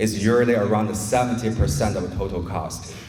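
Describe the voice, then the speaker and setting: A man of medium pitch with a non-native accent, audible room echo, and noticeable background noise. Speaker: poultry science researcher. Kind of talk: presentation talk. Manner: conversational, engaging audience.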